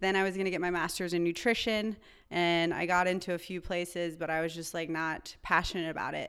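A woman's unremarkable speaking voice, fairly low in pitch and fairly quick, with an American accent. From North Carolina. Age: young. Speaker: chiropractor. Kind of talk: interview conversation.

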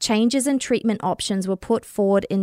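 Recorded very cleanly against a silent background, a woman with an Australian accent speaks at a fairly high pitch with a dry, close sound and no echo. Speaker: podcaster. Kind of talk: casual true crime discussion.

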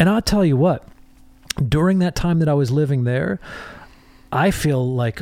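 A man with an American accent, fairly high-pitched, with lively intonation, a moderate pace, long, frequent pauses and noticeable background noise. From US Midwest, Michigan. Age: 50s. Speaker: songwriter and producer. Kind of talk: casual chat.

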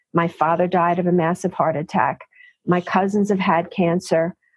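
A woman with a New York accent, medium pitch and a moderate pace. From New York City (Bronx, Queens). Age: 60s. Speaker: physician. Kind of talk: interview.

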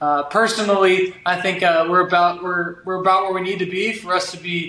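A man's raised, projected voice at a high pitch, monotone and flat in intonation, moderate in pace, over noticeable background noise. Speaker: podcast co-host, former college basketball player. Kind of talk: casual chat.

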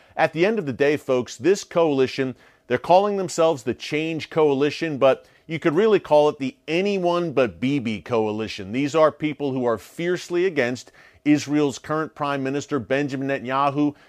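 A man's normal speaking voice, fairly high in pitch, with ordinary pitch variation, a moderate pace, and a dry, close sound with no echo over a quiet background. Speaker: news show host. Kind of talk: news commentary broadcast. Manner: formal newscaster delivery, brisk and urgent.

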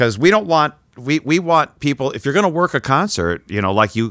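A man speaks in a fairly high pitch with vocal fry and very wide pitch swings. The sound is dry and close with no echo. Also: very clean recording, silent background. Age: 70s. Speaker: podcast host and interviewer. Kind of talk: casual interview chat. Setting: studio.

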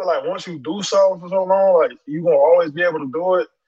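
Loud speech with an American accent and ordinary pitch variation fills this clip. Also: man. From Florida, West Palm Beach. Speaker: pro football player. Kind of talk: casual interview.

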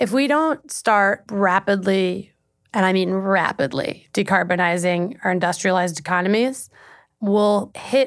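A woman with a plain, everyday voice speaks fairly slowly at medium pitch. The recording is very clean and the background silent. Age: 20s. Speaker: climate change journalist. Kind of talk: casual interview.

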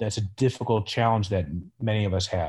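On a very clean recording with a silent background, a man with an American accent speaks in a medium pitch, his tone dark and mellow and his intonation fairly even. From Chicago northern suburbs. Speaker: orthopedic surgeon. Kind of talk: interview.

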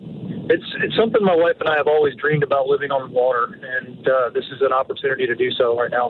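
Noticeable background noise accompanies a man whose fairly high voice races at a very fast pace with ordinary pitch variation. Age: 40s. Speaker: caller. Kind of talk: call-in question. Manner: halting, many fillers.

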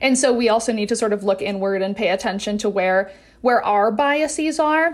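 A woman with an American accent talks at a fairly high pitch and a moderate pace. It is a plain, everyday voice with lively intonation. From Wisconsin. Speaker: nonprofit director and psychology doctoral student. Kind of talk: interview.

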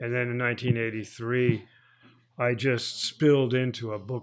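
Medium in pitch, a man with an American accent speaks at a very slow pace. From northern New Jersey (Bergen County). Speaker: poet and professor. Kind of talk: interview conversation with poetry readings. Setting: bookstore in Miami.

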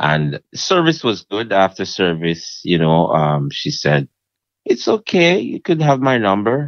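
This is a man speaking. His pace is fairly slow. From Jamaica. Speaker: restaurant owner. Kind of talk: casual chat. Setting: phone call.

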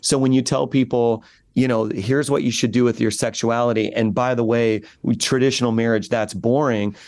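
Here is an unremarkable speaking voice at a moderate pace with fairly even intonation. The background is quiet. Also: man. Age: 40s. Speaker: pastor. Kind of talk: interview.

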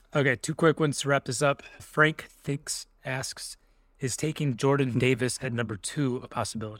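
Delivered at a moderate pace with fairly even intonation, it is a plain, everyday voice in a dry, close sound with no echo. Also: man, medium pitch for a man. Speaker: podcast host, sports reporter. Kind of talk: casual sports podcast chat.

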